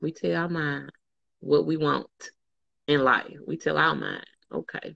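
The sound is dry with no echo. The background is quiet. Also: woman. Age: 40s. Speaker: fitness group leader; motivational vlogger. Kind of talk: casual chat. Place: home room. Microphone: phone near.

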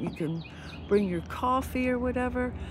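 Somewhat breathy speech at a moderate pace with ordinary pitch variation, dry with no echo, over light background noise. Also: woman. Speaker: RV travel vlogger. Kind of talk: casual vlog chat. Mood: relaxed, amused. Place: waterside. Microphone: phone near.

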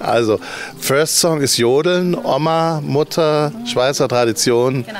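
A man's voice with ordinary pitch variation, dry sound with no echo, and light background noise. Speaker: living room concert host. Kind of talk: casual interview. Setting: livestream from a living room. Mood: cheerful, proud. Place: garden. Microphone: handheld.

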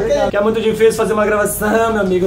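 Amid noticeable background noise, a man with a high pitch speaks in a monotone, flat intonation. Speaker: vlogger. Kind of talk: casual vlog chat. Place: home room. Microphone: phone near.

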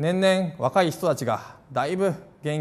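A rather high-pitched male voice. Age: 30s. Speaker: politician, parliamentary candidate; politician, candidate. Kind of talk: campaign speech. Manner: formal. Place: cafe.

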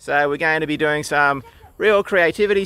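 Speaking at a fairly quick pace, a man has a bright, sharp tone in a dry recording with no echo. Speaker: author vlogger. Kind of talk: casual vlog chat. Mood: relaxed, upbeat. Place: open country. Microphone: phone near.

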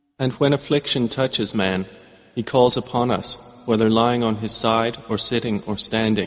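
A man speaks at a medium pitch with fairly even intonation. Noticeable background noise runs under the voice. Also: moderate pace. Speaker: English translation voice-over reader. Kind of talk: Quran translation reading, measured narration.

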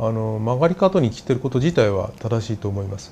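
Light background noise sits behind a man talking at a moderate pace. His voice is somewhat breathy, with a dark, mellow tone. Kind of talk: interview answer. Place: office. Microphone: lapel.

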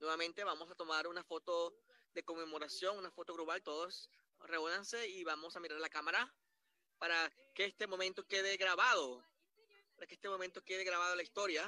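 A man with a high voice talks at a fairly quick pace and fairly even intonation. The sound is dry and close, with no echo. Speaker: Spanish interpreter narrating a corporate awards ceremony. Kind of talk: live simultaneous interpretation. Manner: repetitive, halting phrasing.

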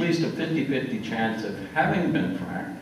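With an American accent, a man's fairly high voice rises and falls in lively intonation, carrying audible room echo over light background noise. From US South Central (Kansas, Oklahoma, Texas). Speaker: retired geologist. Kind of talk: lecture. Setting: stage with audience. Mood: relaxed, wry. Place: hall.

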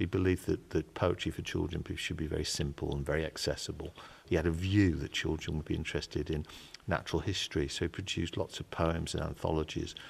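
A man talks at a fairly quick pace with a very deep, low pitch. His somewhat breathy voice keeps a fairly even intonation. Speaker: interviewee. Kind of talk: interview answer.

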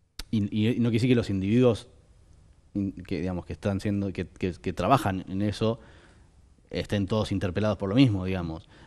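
With a dark, mellow tone and fairly low pitch, a man talks at a moderate pace with ordinary pitch variation and long, frequent pauses, over a quiet background. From Argentina. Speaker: film director; interview guest. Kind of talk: interview. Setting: studio. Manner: halting, many fillers and repetitions. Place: studio. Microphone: headset.

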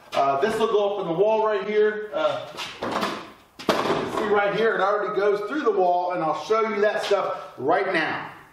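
A high-pitched man at a fairly slow pace, with ordinary pitch variation and audible room echo

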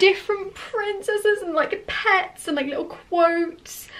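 With ordinary pitch variation, a woman speaks at an extremely high pitch. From England. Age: young. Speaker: vlogger. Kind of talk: vlog. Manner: animated. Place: home room. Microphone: phone near.

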